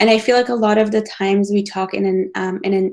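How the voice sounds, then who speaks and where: A woman's voice with a non-native accent and fairly even intonation. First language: not English. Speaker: planetary scientist. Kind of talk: panel discussion. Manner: hesitant, many fillers.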